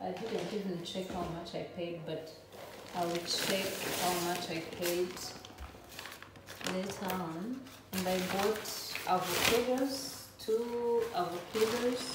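A woman speaks at a very slow pace with long, frequent pauses. Loud background noise and audible room echo fill the recording. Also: ordinary pitch variation. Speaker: vlogger. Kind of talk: casual vlog chat. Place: kitchen. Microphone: camera far.

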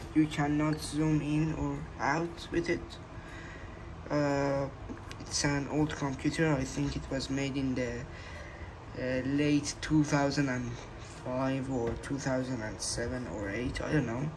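A man's very slow, monotone delivery with flat intonation and long, frequent pauses over noticeable background noise. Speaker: amateur reviewer. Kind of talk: casual product review. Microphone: phone near.

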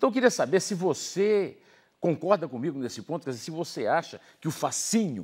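A man's fairly high voice with vocal fry and very wide pitch swings against a quiet background. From Brazil. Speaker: newspaper editorial writer and commentator; newspaper editorial writer, commentator. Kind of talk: TV interview questions. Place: studio. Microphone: lapel.

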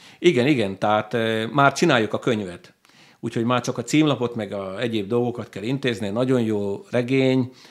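A man speaks at a fairly quick pace with ordinary pitch variation, and the background is quiet. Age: 50s. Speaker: book club owner, former ship captain; interview guest. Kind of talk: interview. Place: studio. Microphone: studio mic.

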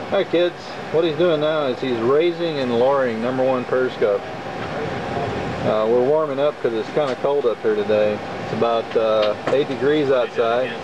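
Noticeable background noise accompanies a man speaking. He keeps a moderate pace with ordinary pitch variation. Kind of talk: tour narration to kids. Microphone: old recording.

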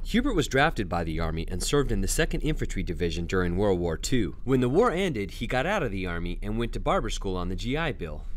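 Hardly any pauses break up this man's speech. He talks very fast. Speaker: TV reporter. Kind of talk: TV news feature narration.

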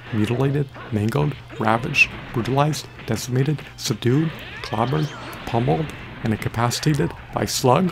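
A man talks in an animated, theatrical tone at a moderate pace, with ordinary pitch variation. There is noticeable background noise. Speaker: gaming commentator. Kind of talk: live game commentary, scripted-sounding play by play. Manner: animated, theatrical, rattling off strings of synonyms; excitable, dramatic hype. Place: home room.

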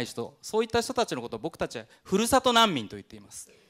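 A man talks very fast with very wide swings in pitch against a quiet background. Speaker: food magazine founder; presenter. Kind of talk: presentation. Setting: stage with audience. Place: hall. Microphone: handheld.

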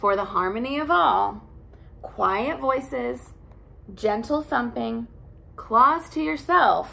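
Natural voice for reading aloud

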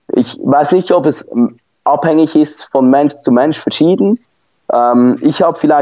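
A man talks at a fairly slow pace. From Switzerland. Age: young. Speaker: Muay Thai coach and studio owner. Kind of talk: interview.

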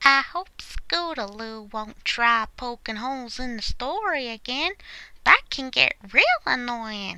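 In a put-on character voice, a woman speaks high and fairly slowly with lively intonation. The recording is very clean, with a silent background. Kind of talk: voice acting audition. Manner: upbeat, excited.

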